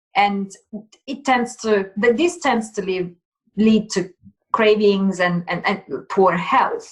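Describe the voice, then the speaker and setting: Speaking very slowly with long, frequent pauses, a woman uses a medium pitch, ordinary pitch variation, and a somewhat breathy sound. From Italy. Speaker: plant-based nutrition consultant. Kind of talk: interview.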